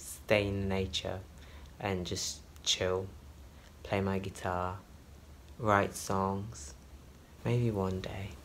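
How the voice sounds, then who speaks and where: With a very deep, low pitch, a soft-spoken man talks at a very slow pace with long, frequent pauses and audible room echo. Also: ordinary pitch variation. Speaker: flight attendant vlogger. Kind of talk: travel vlog. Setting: hotel room. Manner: soft-spoken, talking quietly.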